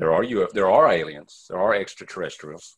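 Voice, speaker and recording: A man speaks with an East Texas accent. The background is quiet. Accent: East Texas Southern. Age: 50s. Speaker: ufologist. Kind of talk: interview.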